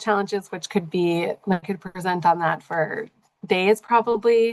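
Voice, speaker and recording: Recorded dry and close with no echo against a quiet background, a woman speaks with fairly even intonation. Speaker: dietitian presenter. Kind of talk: lecture. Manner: fast.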